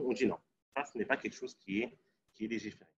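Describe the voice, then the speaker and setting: Intonation is fairly even here. The speaker is a man. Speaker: Islamic jurisprudence teacher. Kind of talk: lecture. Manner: fast; halting. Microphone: laptop audio sometimes cuts out.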